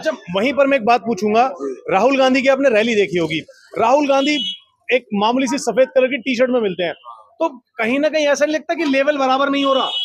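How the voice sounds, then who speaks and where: Extremely high in pitch, this man's voice shows ordinary pitch variation. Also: moderate pace. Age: young. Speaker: street interviewer, political video reporter. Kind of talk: street vox pop interview. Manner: animated.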